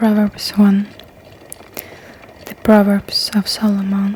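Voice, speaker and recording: A soft-spoken voice at a very slow pace over noticeable background noise. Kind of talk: ASMR scripture reading.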